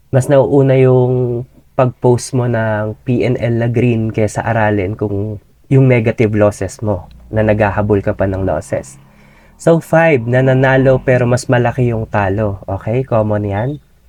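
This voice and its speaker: A man speaks at a fairly slow pace in a dark, mellow tone. His intonation stays fairly even. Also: medium pitch for a man. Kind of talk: tutorial.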